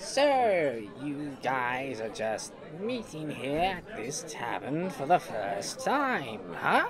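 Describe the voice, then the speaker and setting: A put-on character voice at a middle pitch goes at a very slow pace with hardly any pauses. Clear background noise can be heard. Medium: fan dub. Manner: grumpy, ranting, exasperated.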